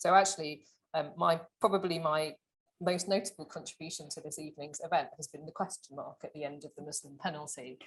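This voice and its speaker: Fairly quick, somewhat breathy delivery with big swings in loudness and fairly even intonation. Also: woman, fairly low pitch for a woman. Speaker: author and advertising professional. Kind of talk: panel talk. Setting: lecture event with audience. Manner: fast.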